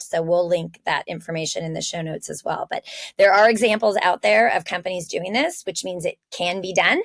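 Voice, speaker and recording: A woman with an unremarkable speaking voice and an American accent, medium pitch, ordinary pitch variation and a fairly quick pace, in a dry, close sound with no echo. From California. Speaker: podcast co-host. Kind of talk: casual podcast discussion.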